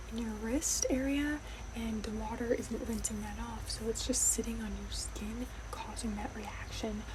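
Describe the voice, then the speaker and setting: Noticeable background noise surrounds a soft-spoken woman who is whispering at a fairly slow pace. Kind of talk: ASMR roleplay as allergist and dermatologist. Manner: whispered, soft-spoken.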